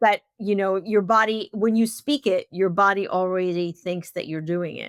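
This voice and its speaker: With an unremarkable speaking voice, a woman talks at a moderate pace and medium pitch, her pitch varying in an ordinary way, in a dry, close sound with no echo. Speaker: podcast host. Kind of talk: podcast host talk and questions.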